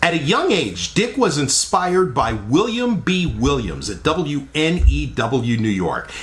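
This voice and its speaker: Over noticeable background noise, a man speaks at a fairly high pitch and a fairly slow pace. His upbeat tone carries very wide pitch swings. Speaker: radio channel host. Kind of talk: casual talk to camera.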